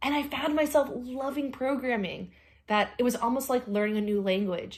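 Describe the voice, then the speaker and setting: A woman's ordinary speaking voice at a fairly quick pace, on a very clean recording with a silent background. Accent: American. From North Carolina. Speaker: astronomer, panel speaker. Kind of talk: career talk to students.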